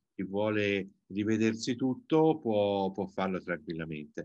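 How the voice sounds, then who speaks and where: The speech comes in an ordinary speaking voice at a fairly slow pace with ordinary pitch variation. The background is quiet and the sound is dry with no echo. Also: man. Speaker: event moderator. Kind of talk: moderating. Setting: video call. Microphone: video call.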